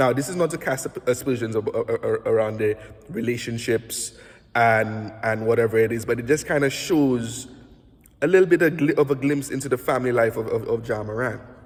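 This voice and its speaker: A man speaks in a Saint Lucian accent at a medium pitch. His pace is very fast, with ordinary pitch variation. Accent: Saint Lucian Caribbean English. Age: 30s. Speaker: basketball analyst and podcast host. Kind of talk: casual self-recorded commentary. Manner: halting, many self-corrections.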